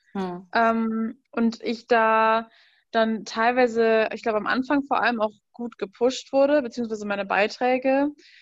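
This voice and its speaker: At a fairly slow pace, a woman with a plain, everyday voice speaks in a fairly high pitch with fairly even intonation over a quiet background. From western Germany, Rhein-Sieg district. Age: 20s. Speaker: food blogger. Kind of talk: casual interview.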